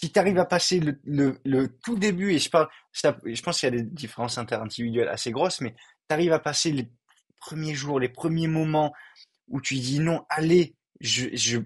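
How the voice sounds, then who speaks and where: A man's fairly high, somewhat breathy voice at a moderate pace with ordinary pitch variation. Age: 20s. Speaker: physiotherapy student and clothing reseller. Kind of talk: casual interview. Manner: halting, many repetitions.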